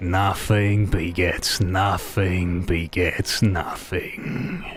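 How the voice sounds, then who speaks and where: A man puts on a raspy character voice, very deep and low in pitch, speaking at a very slow pace amid clear background noise. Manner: whispering.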